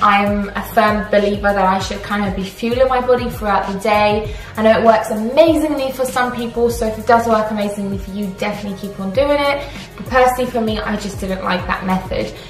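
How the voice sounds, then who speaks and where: A woman talking at a fairly quick pace with hardly any pauses, ordinary pitch variation and big swings in loudness, with audible room echo and faint music in the background. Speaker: fitness vlogger. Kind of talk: casual vlog chat. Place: kitchen. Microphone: phone near.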